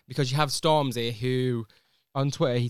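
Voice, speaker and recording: A fairly quick voice in a Manchester accent, with a dry, close sound and no echo. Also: man. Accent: Manchester (Mancunian) English. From northern England (Manchester). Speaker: podcast host. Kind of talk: casual chat. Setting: studio.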